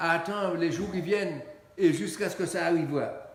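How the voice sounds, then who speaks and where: A man's high-pitched voice at a fairly slow pace, with audible room echo and noticeable background noise. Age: 80s+. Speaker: pastor. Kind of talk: sermon. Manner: halting, with many repetitions.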